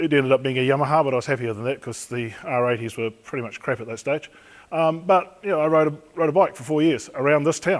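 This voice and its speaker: A man with a fairly high pitch and ordinary pitch variation speaks very fast. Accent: New Zealand. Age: 60s. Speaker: police crash investigator. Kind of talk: talk to an audience.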